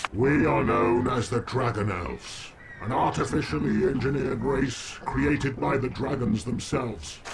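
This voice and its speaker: Using a put-on character voice at medium pitch, a man speaks at a moderate pace with clear background noise. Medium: video game. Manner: polite, formal.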